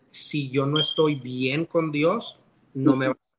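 A man speaks in an unremarkable speaking voice, fairly high in pitch. His intonation is fairly even. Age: 30s. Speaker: loan officer sharing marriage testimony. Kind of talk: testimony.

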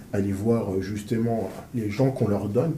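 Audible room echo surrounds a man whose somewhat breathy voice has a dark, mellow tone as he speaks at a fairly slow pace. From Paris suburbs, France. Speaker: interviewer and business coach. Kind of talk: interview. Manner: animated.

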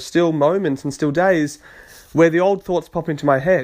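A plain, everyday voice at a fairly quick pace. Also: man. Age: 20s. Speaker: self-help podcast host. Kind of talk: solo monologue podcast.

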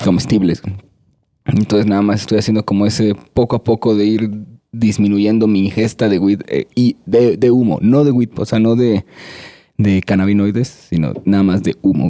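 With a dry, close sound and no echo, a man speaks at a moderate pace in a dark, mellow, fairly low voice, keeping fairly even intonation and very even loudness. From Veracruz, Mexico (Córdoba). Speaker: musician and music producer. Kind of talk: casual chat.

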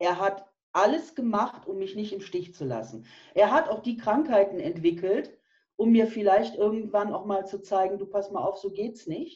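A woman uses a normal speaking voice at a medium pitch and moderate pace, with lively intonation and big swings in loudness. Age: 50s. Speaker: nutrition and health coach. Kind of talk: interview.

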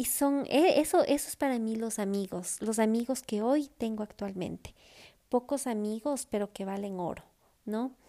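Recorded very cleanly against a silent background, a woman with a dark, mellow tone and fairly high pitch talks at a fairly slow pace with ordinary pitch variation. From Ecuador. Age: 40s. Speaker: podcast host. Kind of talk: casual personal monologue. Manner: hesitant, many fillers.

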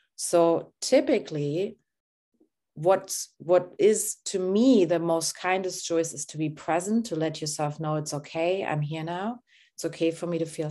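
A woman speaks with a German accent at a fairly slow pace, her fairly low voice dark and mellow, calm in tone, with ordinary pitch variation over a quiet background. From Germany. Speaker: therapist and coach. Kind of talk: guided body-scan session; casual interview chat. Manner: slow, calm guiding.

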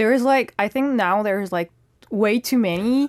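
A woman with a French accent, medium pitch and lively intonation, in a dry, close sound with no echo. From France. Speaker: model and actress. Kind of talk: casual radio interview. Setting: radio studio.

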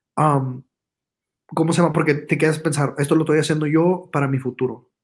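With a northern Mexican accent, a man talks in a fairly high pitch with fairly even intonation. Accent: northern Mexican (Monterrey-like) Spanish. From United States, Mexican parents from Tamaulipas. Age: young. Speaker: social media influencer and musician. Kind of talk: casual interview.

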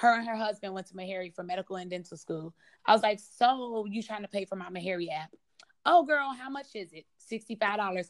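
In an American accent, the speaker has a normal speaking voice at a fairly quick pace. Pitch variation is ordinary, and there are big swings in loudness. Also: woman, medium pitch for a woman. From US Midwest, south side of Chicago. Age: 20s. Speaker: aspiring surgeon. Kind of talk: interview.

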